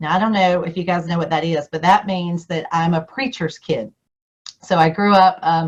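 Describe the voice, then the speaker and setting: Speaking in a fairly low pitch, this woman has a Southern US accent. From US South. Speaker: district governor and Rotary speaker. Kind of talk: keynote speech. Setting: video call.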